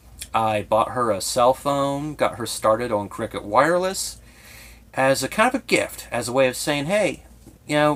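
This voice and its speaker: This man has a medium pitch and speaks with a slight Southern Ohio accent. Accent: slight Southern Ohio twang. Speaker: YouTuber. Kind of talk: personal vlog monologue. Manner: effeminate-sounding speech; tongue clicking, heavy breathing.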